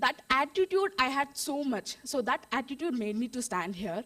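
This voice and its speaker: A woman speaks with lively intonation. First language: Indian language, not English. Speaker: beauty expert sharing her story. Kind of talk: testimony. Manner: animated; halting.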